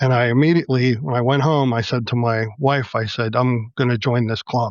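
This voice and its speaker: A man with a normal speaking voice talks at a moderate pace, pitched at a medium level with ordinary pitch variation. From Pittsburgh, Pennsylvania. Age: 60s. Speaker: model railroad club president. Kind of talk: casual chat.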